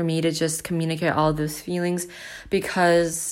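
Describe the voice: The speaker is a woman with a fairly low pitch. She talks at a moderate pace.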